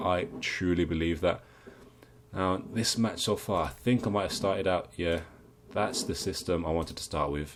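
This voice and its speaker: An English accent with ordinary pitch variation. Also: man, very clean recording, silent background. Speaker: video game streamer. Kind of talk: gameplay commentary. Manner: casual, with hesitations.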